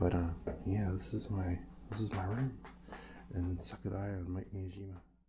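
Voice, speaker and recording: Speaking at a moderate pace, a man with a very deep, low pitch is heard with audible room echo and noticeable background noise. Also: ordinary pitch variation. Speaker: travel vlogger. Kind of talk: casual vlog narration. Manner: hesitant, filler-heavy.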